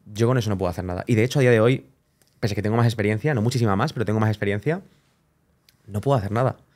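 Against a quiet background, a man with a fairly low pitch and ordinary pitch variation talks very fast, with long, frequent pauses. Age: 20s. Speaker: wedding photographer; podcast guest. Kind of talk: casual chat. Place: studio. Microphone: studio mic.

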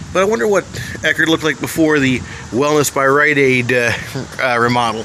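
A man talks at a moderate pace with a fairly high pitch and ordinary pitch variation. His tone is bright and sharp, with faint background noise.

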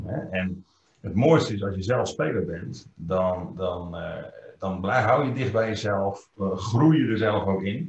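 The voice is somewhat breathy, with ordinary pitch variation and a fairly slow pace. Audible room echo surrounds it. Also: man. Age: 50s. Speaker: trainer. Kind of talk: interview. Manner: hesitant, many fillers. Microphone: webcam.

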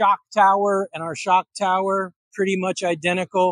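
At a moderate pace, a man with a high pitch speaks over a quiet background, the sound dry with no echo. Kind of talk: technical walkaround explanation. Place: workshop.

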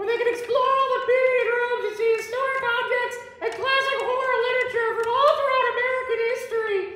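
Delivered with clear echo at a moderate pace, a put-on character voice sounds female and sits at an extremely high pitch. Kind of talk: comic promo sketch. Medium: comedy sketch. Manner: chatty, folksy, rambling.

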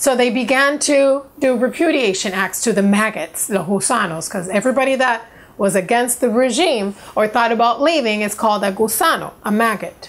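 With lively intonation, a woman talks at a moderate pace. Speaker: vlogger. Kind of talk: personal story vlog. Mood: earnest, indignant at times. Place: home room.

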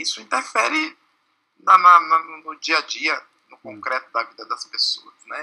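The background is quiet. A man talks very slowly. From Brazil, Bahia (Salvador); Bahia, Brazil. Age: 30s. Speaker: community activist and liberation theology practitioner; interviewee. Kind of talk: interview. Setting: at home. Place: home room. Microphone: video call.

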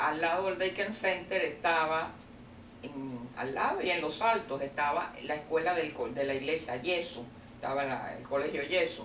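A woman speaks at a moderate pace with a Cuban accent. Audible room echo and light background noise are present. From Cuba, Havana. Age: 80s+. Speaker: retired teacher. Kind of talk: oral history interview. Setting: at her home. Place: home room. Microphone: camera far.

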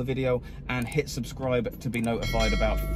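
Music sounds in the background. Over it, a man talks. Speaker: food vlogger. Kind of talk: casual vlog chat. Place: car. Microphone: phone near.

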